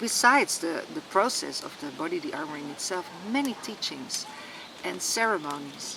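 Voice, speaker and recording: A woman speaks at a medium pitch with very wide pitch swings. Noticeable background noise runs underneath. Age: 60s. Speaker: retreat organizer and healer. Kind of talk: personal testimony to camera. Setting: outdoors in a wood, sitting by a tree. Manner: halting, frequent word repetitions.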